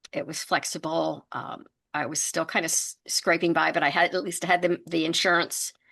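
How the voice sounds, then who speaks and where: A woman with an American accent, fairly low in pitch, bright and sharp in tone with vocal fry, fairly even intonation, a moderate pace and a quiet background. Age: 60s. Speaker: entrepreneur. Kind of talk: interview.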